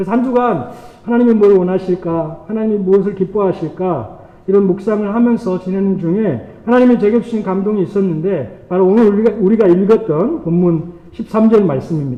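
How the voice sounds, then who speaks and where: Over noticeable background noise, a man talks at a fairly quick pace in a high pitch, his pitch varying in an ordinary way. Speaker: pastor. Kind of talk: sermon. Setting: church. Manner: fast.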